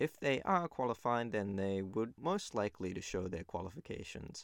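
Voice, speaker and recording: The man talks at a fairly slow pace on a very clean recording with a silent background. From New Zealand. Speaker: naturopath podcast host. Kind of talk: solo informational monologue.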